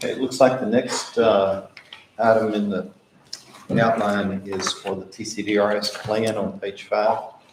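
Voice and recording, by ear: A man with a fairly low pitch speaks fairly slowly, his pitch moving very little, and the room echo is audible.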